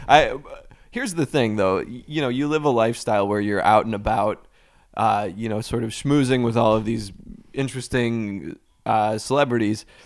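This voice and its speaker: On a very clean recording with a silent background, a man with an American accent and an unremarkable speaking voice talks at a moderate pace and a medium pitch. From US Midwest, Cleveland suburbs. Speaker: podcast co-host. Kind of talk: improvised comedy chat.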